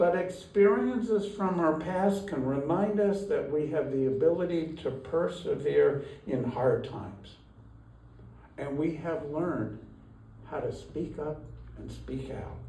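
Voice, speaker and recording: With lively intonation and big swings in loudness, a man speaks at a fairly slow pace and fairly high pitch, with audible room echo and noticeable background noise. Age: 70s. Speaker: lay minister. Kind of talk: sermon.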